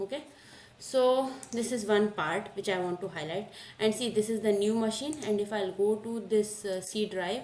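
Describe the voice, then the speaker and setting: In a room with audible echo and noticeable background noise, a woman speaks at a fairly high pitch with ordinary pitch variation. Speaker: cloud computing instructor. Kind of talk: lecture. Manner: slow.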